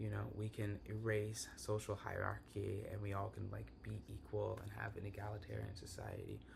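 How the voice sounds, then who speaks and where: At a moderate pace and with hardly any pauses, a man talks over noticeable background noise in a room with audible echo. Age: young. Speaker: podcast host. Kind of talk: podcast discussion.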